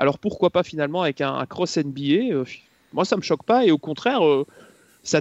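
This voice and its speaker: In a plain, everyday voice, a man speaks at a fairly quick pace and fairly high pitch, with a dry, close sound, no echo and a quiet background. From Belgium. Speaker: motorsport commentator. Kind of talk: casual chat.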